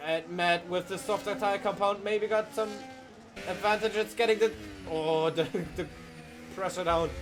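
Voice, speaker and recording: Speaking at a moderate pace with a German accent and ordinary pitch variation, the voice breaks into long, frequent pauses over noticeable background noise. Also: man, high pitch for a man. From Germany. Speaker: sim racing commentator. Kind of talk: live commentary. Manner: animated; halting.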